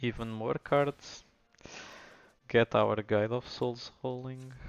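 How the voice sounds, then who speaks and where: The speech moves at a very slow pace. The sound is dry and close with no echo, and music plays in the background. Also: man. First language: Portuguese. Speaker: gaming streamer. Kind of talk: gameplay commentary. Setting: live stream.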